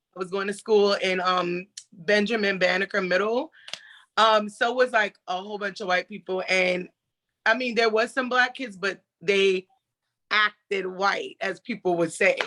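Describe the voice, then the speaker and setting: A woman's bright, sharp tone at medium pitch, fairly even in intonation, on a very clean recording with a silent background. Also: moderate pace. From US South. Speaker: roundtable participant. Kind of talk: casual chat, personal story.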